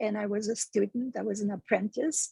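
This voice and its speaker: A woman speaks in a Russian accent at medium pitch and a moderate pace, her tone dark and mellow and somewhat breathy. The sound is dry and close, with no echo. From Russia (Moscow). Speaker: meditation teacher and speaking coach. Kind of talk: podcast interview. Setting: live stream.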